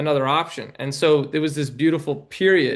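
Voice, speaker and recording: At a moderate pace, a man talks in an ordinary speaking voice pitched fairly high. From New York City. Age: 20s. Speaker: documentary filmmaker. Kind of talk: podcast interview.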